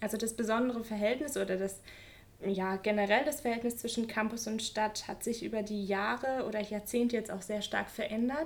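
Talking at a fairly quick pace, a woman with a plain, everyday voice keeps a fairly high pitch and fairly even intonation. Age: 20s. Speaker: doctoral researcher in geography. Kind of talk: interview and campus walking tour. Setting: office and walking outdoors on campus.

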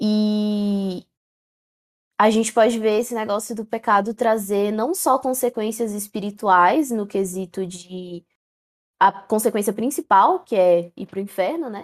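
A woman speaks at a fairly slow pace and a fairly high pitch. Her pitch variation is ordinary, while her loudness swings widely. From Central-West Brazil. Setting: online voice call.

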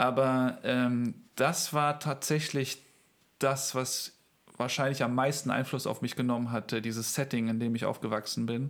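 Here is a man with an unremarkable speaking voice at medium pitch and fairly even intonation. He keeps a moderate pace in a very clean recording with a silent background. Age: 30s. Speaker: pastor and church planter. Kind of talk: interview.

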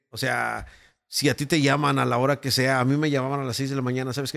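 Intonation stays monotone and flat. The delivery is very fast. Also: man. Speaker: radio announcer and producer. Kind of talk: casual chat.

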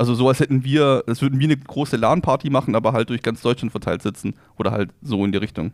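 Ordinary pitch variation marks this man's very fast pace of speech. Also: medium pitch for a man. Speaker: podcast co-host. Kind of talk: casual chat. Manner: calm, relaxed.

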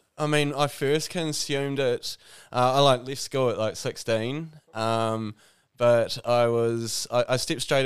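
With a New Zealand accent, the speaker talks at a fairly slow pace with fairly even intonation on a very clean recording with a silent background. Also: man. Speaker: cannabis grower. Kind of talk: casual chat. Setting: studio.

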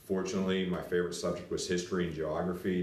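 Through noticeable background noise and audible room echo, a man with an American accent and a very deep, low voice speaks at a very fast pace. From western Pennsylvania, Latrobe. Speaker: school administrator. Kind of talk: interview, casual chat. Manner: hesitant with frequent fillers.

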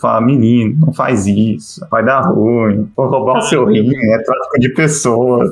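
Noticeable background noise sits under a man's voice at medium pitch. He speaks at a fairly slow pace with ordinary pitch variation. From Brazil. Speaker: Brazilian immigrant abroad. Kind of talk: casual chat.

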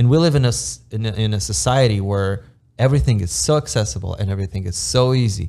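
A dark, mellow, somewhat breathy voice with an Eastern European accent, very fast and with very wide pitch swings, on a very clean recording with a silent background. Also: man, fairly low pitch for a man. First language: Romanian. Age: 30s. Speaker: immigrant construction project manager. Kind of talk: casual podcast interview.

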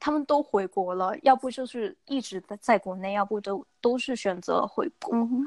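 A woman with a plain, everyday voice speaks at a fairly high pitch and a moderate pace with lively intonation, in a dry, close sound with no echo and a quiet background. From Guangzhou, southern China. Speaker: young professional living abroad. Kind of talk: casual chat.

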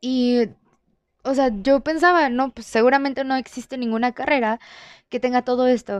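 In a quiet setting, a woman speaks at a high pitch and moderate pace with fairly even intonation, the sound dry and close with no echo. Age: 20s. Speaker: university student podcaster. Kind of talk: personal monologue. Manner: casual.

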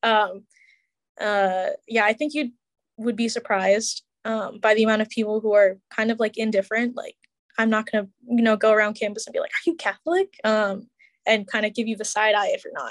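The speaker, with an American accent, talks at a fairly quick pace with fairly even intonation. The sound is dry and close with no echo, over a quiet background. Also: woman, fairly high pitch for a woman. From Chicago area. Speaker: podcast team member, recent graduate. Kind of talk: interview. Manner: casual, hesitant.

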